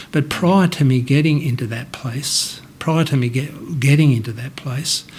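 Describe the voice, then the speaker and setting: A man with a fairly high pitch talks while noticeable background noise sounds behind him. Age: 60s. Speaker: interviewee sharing mental health story. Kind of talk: personal testimony. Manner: halting, with many false starts.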